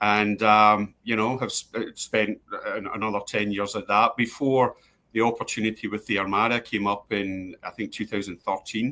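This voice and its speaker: A man in a Glasgow accent, fairly low-pitched with a bright, sharp tone, at a moderate pace with monotone, flat intonation, on a very clean recording with a silent background. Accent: Scottish, Glasgow. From Scotland, East End of Glasgow. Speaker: sports club executive. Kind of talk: interview. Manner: hesitant, many fillers and repeats.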